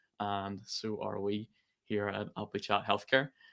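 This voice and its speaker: In a Northern Irish accent, a man speaks with a bright, sharp tone. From Northern Ireland. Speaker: company president. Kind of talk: webinar presentation.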